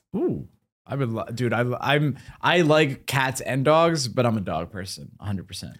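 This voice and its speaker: A man with an American accent speaks at a moderate pace, his medium pitch touched by vocal fry. His intonation is lively, and the recording is very clean with a silent background. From US Northeast. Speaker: podcast host. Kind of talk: casual chat.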